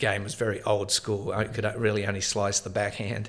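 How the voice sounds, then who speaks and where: Speaking with an Australian accent, a man keeps to a fairly low pitch. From Australia, Tasmania. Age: 50s. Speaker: former pro tennis player and coach. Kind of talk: interview.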